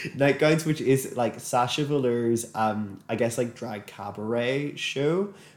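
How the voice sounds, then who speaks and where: Speaking at a moderate pace, a man has an ordinary speaking voice with medium pitch and ordinary pitch variation. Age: 20s. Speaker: podcast co-host. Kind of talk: casual chat. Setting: same room, shared microphones.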